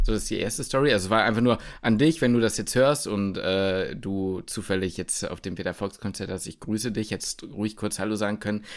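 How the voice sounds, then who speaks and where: A man in a normal speaking voice, fairly low-pitched with ordinary variation, fairly quick with hardly any pauses, in a very clean recording with a silent background. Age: 20s. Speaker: medical student. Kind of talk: casual chat.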